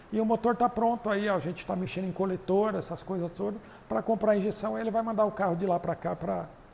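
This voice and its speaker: Talking at a very fast pace, a man uses a high pitch and fairly even intonation. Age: 60s. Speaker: drag racing mechanic. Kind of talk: casual chat.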